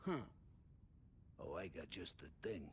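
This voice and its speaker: A man does a loud, raspy put-on character voice over clear background noise. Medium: video game. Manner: loud, jovial.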